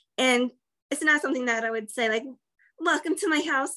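A woman's high-pitched, raised and projected voice with an American accent, bright and sharp in tone, at a fairly quick pace. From US, Northeast Pennsylvania. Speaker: American immigrant in Canada. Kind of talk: casual interview.

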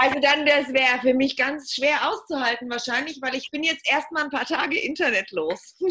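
Projecting her voice, a woman speaks at a moderate pace in a bright, sharp, high tone with ordinary pitch variation. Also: hardly any pauses. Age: 40s. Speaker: podcast guest on femininity. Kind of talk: casual interview.

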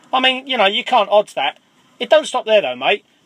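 A man's raised, projected voice with an English accent, bright and sharp in tone, recorded dry and close with no echo. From England, Cambridgeshire. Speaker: listener caller. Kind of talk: voicemail anecdote.

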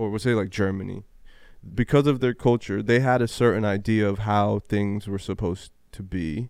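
A man's fairly low-pitched, normal speaking voice at a moderate pace, fairly even in intonation, over a very clean recording with a silent background. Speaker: podcast host. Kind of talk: casual chat.

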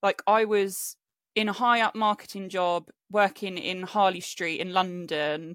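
A woman speaks at a medium pitch with fairly even intonation. The sound is dry and close with no echo on a very clean recording with a silent background. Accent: southern English. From England, Hampshire (Aldershot), partly raised in Spain. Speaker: self-worth coach. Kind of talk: casual chat.

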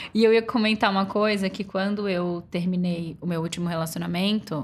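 A woman with an ordinary speaking voice talks at a moderate pace and medium pitch, with fairly even intonation. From Florianópolis, southern Brazil. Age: 30s. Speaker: digital influencer. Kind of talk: casual chat. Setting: home recording.

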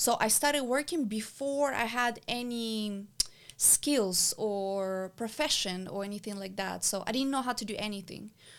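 A woman speaks in a plain, everyday voice. Her pitch variation is ordinary. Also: fairly high pitch for a woman, moderate pace. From abroad, immigrant to the US. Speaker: business owner and mentor. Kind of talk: casual interview.

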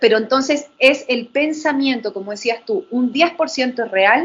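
A woman speaks at a fairly slow pace in a high pitch. Her intonation is lively. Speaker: wellbeing and neuroscience specialist. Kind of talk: panel conversation.

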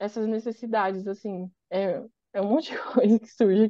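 A woman talks in an ordinary speaking voice. Her pitch is fairly high. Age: 20s. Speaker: advertising professional and content creator. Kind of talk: casual chat.

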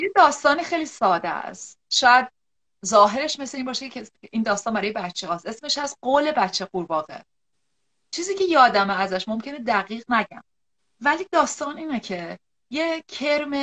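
A woman speaks in a high voice at a moderate pace. Her pitch swings very widely. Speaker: psychological counselor. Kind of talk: live-stream interview. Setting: online live video stream.

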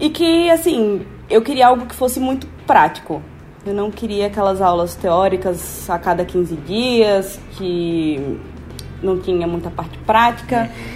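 At a fairly slow pace, a woman speaks with very wide pitch swings and big swings in loudness, with noticeable background noise around her. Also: medium pitch for a woman. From Brazil, Natal, Rio Grande do Norte. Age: 20s. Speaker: biomedical scientist. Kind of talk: interview.

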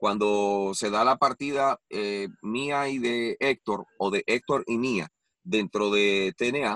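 The sound is dry and close, with no echo. A man talks at medium pitch with ordinary pitch variation. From Puerto Rico. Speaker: wrestling commentator. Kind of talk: interview.

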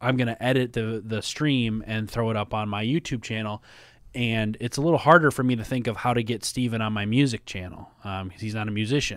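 A man talks at a fairly quick pace in a Minnesota accent, his pitch medium and his intonation fairly even. The recording is very clean, with a silent background. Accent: Minnesota American. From US Midwest, Minnesota. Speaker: podcast co-host and musician. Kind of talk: casual chat.

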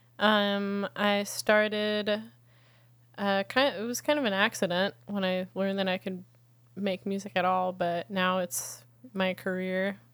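A woman with an American accent and a plain, everyday voice speaks at a medium pitch and a fairly slow pace, with fairly even intonation, on a very clean recording with a silent background. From upstate New York (Catskills). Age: 30s. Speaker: musician. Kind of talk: casual interview chat.

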